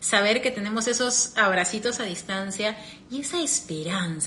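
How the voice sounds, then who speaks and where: Lively intonation marks a woman speaking at medium pitch and moderate pace. Background noise is noticeable. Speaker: podcaster and personal growth coach. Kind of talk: live stream talk. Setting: live stream.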